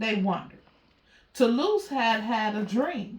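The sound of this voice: A woman at a fairly high pitch and slow pace, with audible room echo. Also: lively intonation.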